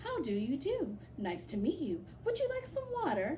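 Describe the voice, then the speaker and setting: Over clear background noise, a woman does a put-on character voice at a moderate pace. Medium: read story. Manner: hesitant, careful.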